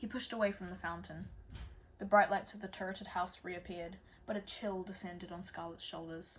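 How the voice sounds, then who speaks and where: Somewhat breathy and fairly quick, a woman speaks with monotone, flat intonation. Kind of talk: audiobook chapter reading. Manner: occasionally stumbles over words.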